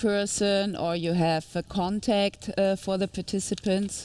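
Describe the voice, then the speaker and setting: Here a woman talks with a German accent. She keeps a fairly slow pace and ordinary pitch variation. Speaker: webinar host. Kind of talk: webinar moderation. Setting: live studio.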